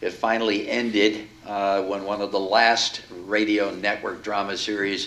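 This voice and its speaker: A man's fairly low pitch, monotone and flat, at a fairly slow pace. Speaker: event host. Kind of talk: introduction to live audience.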